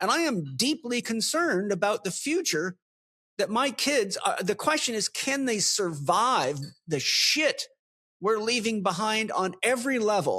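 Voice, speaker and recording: A man speaks in a raised, projected voice, pitched high, with very wide pitch swings at a fairly slow pace. The recording is very clean with a silent background, and the sound is dry and close with no echo, in a bright, sharp tone. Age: 60s. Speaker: podcast host. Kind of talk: casual chat. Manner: animated.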